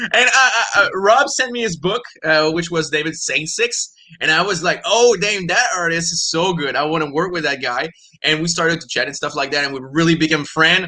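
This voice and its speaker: A man's high-pitched, fairly quick speech in a Quebec accent, with lively intonation. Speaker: comic book writer and editor. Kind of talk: interview. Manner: halting, many repeated words.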